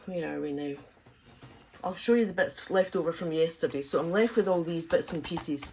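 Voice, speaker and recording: With noticeable background noise, a woman speaks at a fairly quick pace and a fairly low pitch. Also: ordinary pitch variation. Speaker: crafting YouTuber. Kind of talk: craft tutorial. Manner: fast, talks in bursts on one breath; casual, many filler ums.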